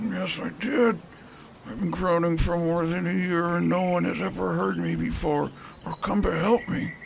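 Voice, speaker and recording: Put-on character voice from a man, moderate in pace, over clear background noise. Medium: audio drama.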